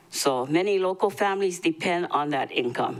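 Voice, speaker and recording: The speaker is a woman. She has a Hawaiian accent. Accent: Hawaii local English. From Hawaii, Maui. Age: 70s. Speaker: public testifier. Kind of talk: public testimony. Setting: county council meeting.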